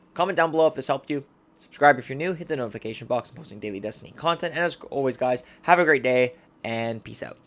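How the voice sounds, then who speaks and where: With big swings in loudness, a man talks at a very fast pace in a fairly high voice. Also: lively intonation. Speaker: gaming video creator. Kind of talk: gameplay tutorial. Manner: stumbling over words; casual.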